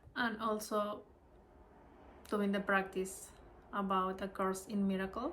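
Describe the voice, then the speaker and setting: A woman speaks with a Spanish accent. Her pace is moderate and her intonation fairly even. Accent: Spanish-speaker accent in English. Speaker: spiritual study video creator. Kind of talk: casual self-recorded study video. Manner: halting.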